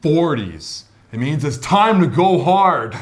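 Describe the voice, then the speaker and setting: A man's pitch swings very widely. Audible room echo and noticeable background noise surround his voice. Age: 30s. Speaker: vlog host. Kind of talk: casual chat.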